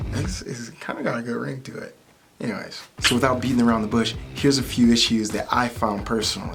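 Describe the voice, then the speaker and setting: Faint music sits in the background as a man with an American accent talks at a fairly quick pace, his medium pitch held in fairly even intonation. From Michigan, US. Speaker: tech vlogger; car owner reviewing a driving feature. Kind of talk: casual vlog. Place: home room.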